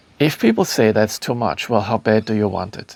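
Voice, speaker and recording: A man speaks with a German accent. His pitch is fairly low and his pace fairly quick. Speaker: spiritual teacher and author. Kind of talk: talk to camera. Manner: halting, many fillers.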